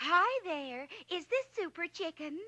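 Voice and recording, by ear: A woman performs a squeaky, cartoonish character voice at an extremely high pitch. Her pitch swings very widely, and her pace is fairly slow.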